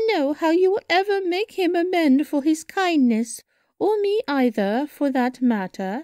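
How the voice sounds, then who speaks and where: On a very clean recording with a silent background, a woman puts on a character voice at an extremely high pitch. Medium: read story. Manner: emotional, dramatic.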